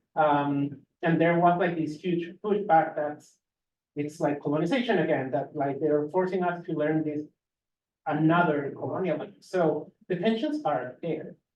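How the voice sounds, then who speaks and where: With a Spanish accent, someone speaks at a moderate pace. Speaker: graduate student. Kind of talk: panel discussion. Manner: hesitant with fillers.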